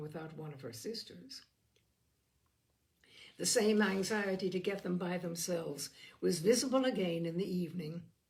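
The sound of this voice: Her voice sits at a fairly low pitch and moves at a moderate pace. There is audible room echo around the woman. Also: slightly mellow tone.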